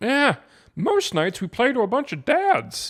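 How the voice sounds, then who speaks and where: A man's put-on character voice, extremely high with very wide pitch swings, at a fairly slow pace in a very clean recording with a silent background. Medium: audio drama. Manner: dry, wry.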